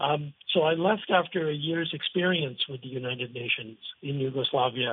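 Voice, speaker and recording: With an American accent, a man uses a normal speaking voice at a fairly high pitch, a moderate pace and ordinary pitch variation. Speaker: former UN communications consultant. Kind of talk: radio interview. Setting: phone call.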